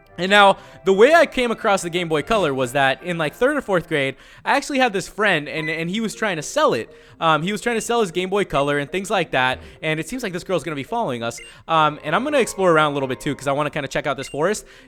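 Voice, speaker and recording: Over background music, a man talks at a very fast pace. His high pitch swings very widely. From El Salvador. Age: 20s. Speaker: gaming video creator. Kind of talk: let's play commentary. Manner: casual, filler-heavy.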